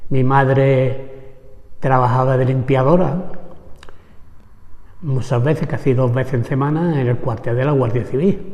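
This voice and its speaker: Amid audible room echo, a man with an Andalusian accent talks at a fairly slow pace with long, frequent pauses, his medium-pitched voice somewhat breathy. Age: 70s. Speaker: trade unionist, former vineyard worker. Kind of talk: oral history interview. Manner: halting.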